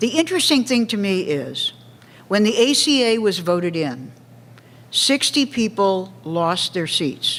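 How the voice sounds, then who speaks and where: A woman's medium-pitched voice at a fairly slow pace, with very wide pitch swings. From US West Coast, Los Angeles. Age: 70s. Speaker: politician. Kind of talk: public lecture Q&A. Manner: animated.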